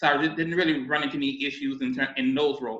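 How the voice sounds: An ordinary speaking voice from a man, at a fairly quick pace with fairly even intonation.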